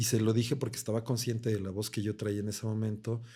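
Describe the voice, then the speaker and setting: In a very clean recording with a silent background, a man speaks at a fairly low pitch with a dark, mellow tone and monotone, flat intonation. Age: 50s. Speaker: coach and coma survivor. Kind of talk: testimony.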